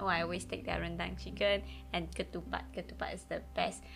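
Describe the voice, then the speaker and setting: A woman talks at a fairly quick pace. Her voice carries audible room echo. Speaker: podcast co-host. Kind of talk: casual chat.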